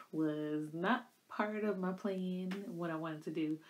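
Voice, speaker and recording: Here a woman talks. She goes at a fairly slow pace. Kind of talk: casual vlog storytelling. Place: home room. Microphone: phone near.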